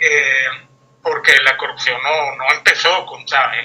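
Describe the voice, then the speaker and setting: A man is speaking. His pace is fairly slow. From Venezuela. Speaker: guest commentator. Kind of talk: interview discussion. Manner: hesitant, many fillers.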